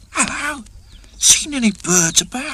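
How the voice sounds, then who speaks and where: A woman's put-on character voice, high in pitch and fairly slow in pace. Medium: read story. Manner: cheerful, breezy.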